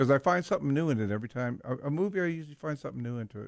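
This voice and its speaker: With an American accent and ordinary pitch variation, a man talks at a very fast pace on a very clean recording with a silent background and a dry, close sound with no echo. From Southern California. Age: 70s. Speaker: radio host. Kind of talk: casual chat.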